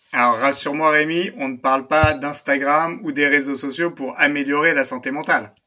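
His voice is fairly high for a man, with a bright, sharp tone and fairly even intonation. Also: moderate pace. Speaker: tech podcast co-host. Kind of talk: casual chat. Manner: relaxing, calm; halting, many fillers.

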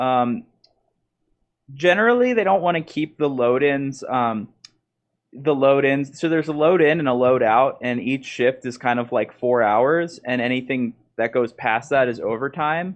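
An American-accented man has an unremarkable speaking voice. He talks at a moderate pace with ordinary pitch variation. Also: fairly high pitch for a man. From Baltimore, Maryland (US). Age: 20s. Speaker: DJ and music producer. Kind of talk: casual interview chat.

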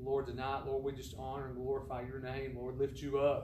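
This man has a medium pitch and a monotone, flat intonation. He keeps a moderate pace against noticeable background noise. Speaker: pastor leading service. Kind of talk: church service. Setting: church.

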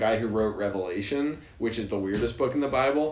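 Noticeable background noise sits behind a man talking at a very fast pace. His pitch is medium and varies in an ordinary way. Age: 20s. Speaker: manufacturing engineer, podcast co-host. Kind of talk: casual chat.

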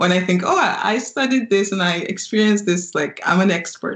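The speech comes at a fairly quick pace and sounds somewhat breathy. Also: woman. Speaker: podcast host. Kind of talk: interview.

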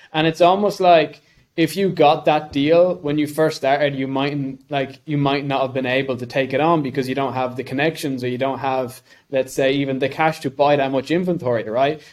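A man speaks with an Irish accent at a fairly high pitch. His intonation stays fairly even. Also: moderate pace. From Ireland. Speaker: podcast co-host. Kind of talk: casual interview chat.

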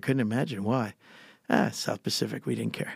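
A man speaks with an American accent and vocal fry. The sound is dry and close with no echo. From Bucks County, Pennsylvania. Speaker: tennis instructor and storyteller. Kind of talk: casual storytelling interview. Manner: animated.

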